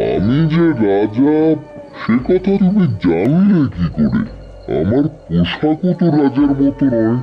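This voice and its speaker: A man performs a cartoonish character voice at a fairly high pitch, with very wide pitch swings and very even loudness. He speaks at a fairly slow pace, and clear music plays in the background. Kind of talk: animated folk tale acting. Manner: stately, repeats words for emphasis.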